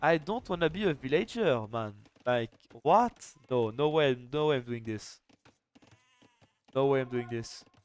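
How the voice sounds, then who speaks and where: Spoken with a French accent, the delivery moves at a moderate pace. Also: man. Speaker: esports caster and streamer. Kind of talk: live commentary. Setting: live stream. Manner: animated.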